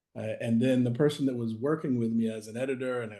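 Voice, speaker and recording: This man has a dark, mellow tone and a medium pitch, talking fairly quickly. He speaks with an American accent and fairly even intonation. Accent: Boston accent, comes and goes. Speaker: author and anti-racism practitioner. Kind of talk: interview. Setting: video call.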